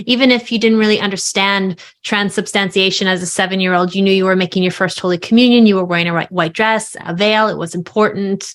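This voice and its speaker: A woman with an American accent, very fast and with hardly any pauses, fairly even in intonation, on a very clean recording with a silent background. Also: medium pitch for a woman. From New York, Long Island. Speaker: author and speaker on faith. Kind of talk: podcast interview.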